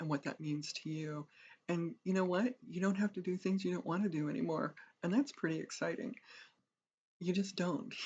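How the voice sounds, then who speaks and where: A woman's fairly low, somewhat breathy voice. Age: 60s. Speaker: retirement vlogger. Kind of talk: reflective talk to camera. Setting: home office on camera.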